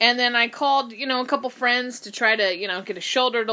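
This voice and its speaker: A loud woman's voice, bright and sharp in tone, fairly high in pitch. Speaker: podcast co-host. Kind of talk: casual chat. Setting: studio.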